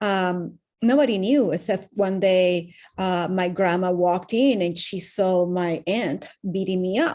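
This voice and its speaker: Someone with a Venezuelan accent speaks at a fairly slow pace in a dark, mellow tone, in a very clean recording with a silent background. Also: woman. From Venezuela, Caracas. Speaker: wellness coach. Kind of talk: interview testimony.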